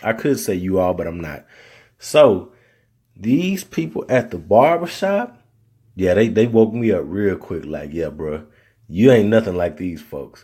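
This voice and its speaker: A man with an American accent, fairly low in pitch with a dark, mellow tone, at a fairly slow pace in a very clean recording with a silent background. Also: lively intonation. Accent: Southern, comes and goes. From Arkansas, US South. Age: 30s. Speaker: podcast host. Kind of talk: solo podcast monologue. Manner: casual, conversational.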